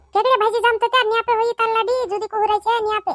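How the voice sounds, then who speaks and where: A woman puts on a squeaky character voice at an extremely high pitch, delivered in a monotone, flat intonation. She talks at a very fast pace, and the sound is dry and close with no echo. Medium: cartoon. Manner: scolding, argumentative.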